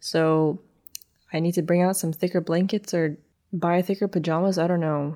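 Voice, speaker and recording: A woman's fairly low, dark, mellow voice in a monotone, flat delivery at a moderate pace, on a very clean recording with a silent background. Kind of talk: solo podcast monologue. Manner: hesitant, fills speech with like and um.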